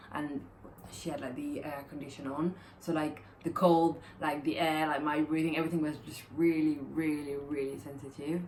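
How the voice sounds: The speaker moves at a moderate pace with little pitch movement. The tone is slightly mellow. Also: woman, low pitch for a woman.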